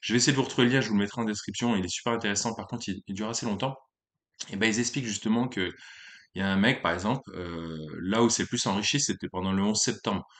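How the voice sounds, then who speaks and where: Against a quiet background, a man talks at a very fast pace. His pitch is fairly low, with ordinary variation. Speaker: YouTuber, amateur stock investor. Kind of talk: casual vlog monologue. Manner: hesitant with many fillers.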